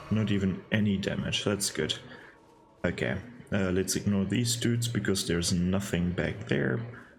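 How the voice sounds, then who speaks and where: Very even loudness and ordinary pitch variation, with noticeable background noise and audible room echo. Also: man, fairly low pitch for a man. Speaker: gaming YouTuber. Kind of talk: let's play commentary. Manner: slow; halting.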